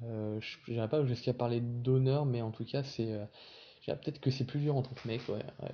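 A man speaks at medium pitch. His pace is moderate and his intonation fairly even. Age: 20s. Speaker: local politician and anti-bullying activist. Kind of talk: interview. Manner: halting.

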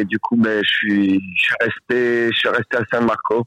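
The speaker is a man with a medium pitch. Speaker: volunteer fighting wildfires. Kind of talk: casual phone chat. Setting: phone call. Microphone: poor line, hard to hear.

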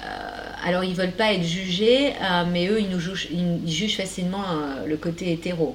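With noticeable background noise behind her, a woman speaks at a moderate pace in a fairly low pitch with ordinary pitch variation. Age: 40s. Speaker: shaman, life coach and podcast host. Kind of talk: casual interview chat.

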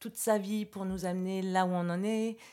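A woman's voice at a medium pitch. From France, Versailles. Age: 40s. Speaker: clown trainer and artist. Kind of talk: interview.

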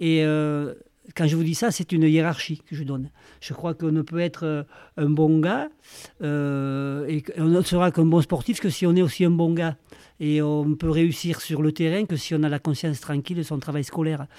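A man's fairly high, dark, mellow voice at a moderate pace, with fairly even intonation. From Bigorre, southwest France. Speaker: rugby coach and educator. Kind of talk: interview. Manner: halting.

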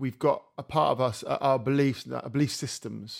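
The recording is very clean with a silent background, capturing a man with an English accent. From England. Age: 40s. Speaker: musician and podcast host. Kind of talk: casual interview conversation. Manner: halting.

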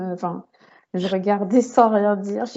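At a very slow pace, a woman talks at medium pitch with fairly even intonation. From Paris region, France. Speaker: podcast host, book content creator. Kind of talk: casual interview chat.

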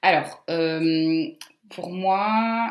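A woman's fairly low pitch with lively intonation. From Portugal and Brazil, raised abroad. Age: 30s. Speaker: customer success manager. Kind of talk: interview.

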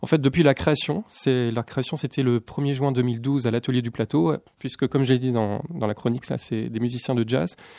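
A man's medium-pitched voice with a dark, mellow tone, ordinary pitch variation and a moderate pace, in a dry, close sound with no echo. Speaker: radio columnist. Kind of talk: casual radio chat.

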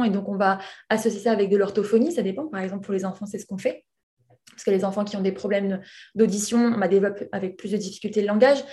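Talking at a very fast pace, a woman with a medium pitch and a dark, mellow, somewhat breathy tone keeps fairly even intonation through big swings in loudness. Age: 20s. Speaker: hearing aid specialist. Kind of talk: interview. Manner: hesitant.

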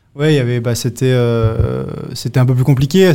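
A man speaks at medium pitch with a dark, mellow tone. His pace is fairly quick. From Monaco. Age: 30s. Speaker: beer company co-founder, entrepreneur. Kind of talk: casual interview. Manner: halting, many repetitions.

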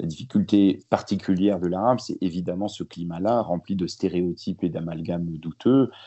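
At a moderate pace, a man speaks with hardly any pauses. His voice is very deep and low, with ordinary pitch variation. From France, born in Lebanon. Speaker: journalist and author. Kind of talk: interview.

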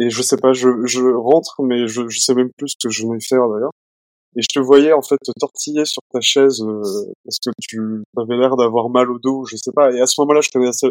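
In an unremarkable speaking voice, a man talks at a fairly quick pace, medium in pitch with fairly even intonation, and the sound is dry and close with no echo. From Nantes, western France. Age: 30s. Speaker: purchasing manager, partner of patient. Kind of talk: casual interview.

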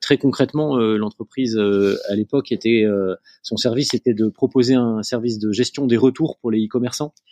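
A man speaks at a moderate pace in a medium pitch, his tone dark and mellow. The sound is dry and close with no echo, and his intonation stays fairly even. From northern France, near Lille. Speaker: family business executive and entrepreneur. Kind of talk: interview. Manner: hesitant, many fillers and repetitions.

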